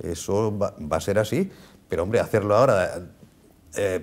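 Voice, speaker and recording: A man talks fairly quickly, captured on a very clean recording with a silent background. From Spain, La Unión (Murcia region). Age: 70s. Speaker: veteran regional politician. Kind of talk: TV interview.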